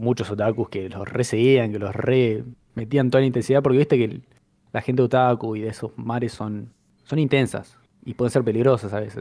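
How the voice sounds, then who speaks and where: A man in a Rioplatense accent speaks at a fairly quick pace with fairly even intonation, medium pitch and a dark, mellow tone, on a very clean recording with a silent background. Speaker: podcast co-host. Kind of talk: casual chat.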